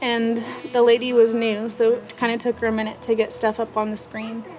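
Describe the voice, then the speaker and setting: A woman talks at a fairly slow pace with a fairly high pitch. Music plays behind her. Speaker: young mother vlogger. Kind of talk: personal testimony. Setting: outdoors. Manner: halting, with stutters and fillers.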